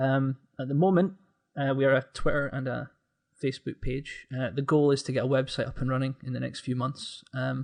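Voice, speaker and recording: A man speaks with a Scottish accent at a fairly quick pace. His intonation stays fairly even. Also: medium pitch for a man. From Scotland, Aberdeen. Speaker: gaming content creator, podcast guest. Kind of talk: casual chat.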